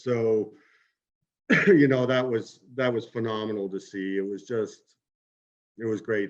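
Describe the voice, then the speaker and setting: Speaking at a fairly slow pace with long, frequent pauses, a man uses fairly even intonation and a fairly low pitch. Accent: Maritime Canadian. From Kitchener, Ontario. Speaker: former junior hockey player. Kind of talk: interview answer.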